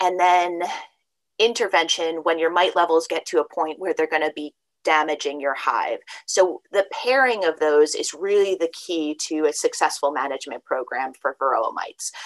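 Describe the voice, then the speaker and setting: An ordinary speaking voice from a woman, fairly low in pitch with ordinary pitch variation and a moderate pace, comes through dry and close with no echo. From downstate New York. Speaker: state apiarist. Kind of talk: interview.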